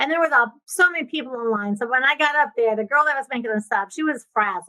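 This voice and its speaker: A woman talks at a very fast pace with a high pitch and lively intonation. Her raised, projected voice has a bright, sharp tone. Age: 60s. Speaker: real estate investor and coach. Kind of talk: podcast interview. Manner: animated.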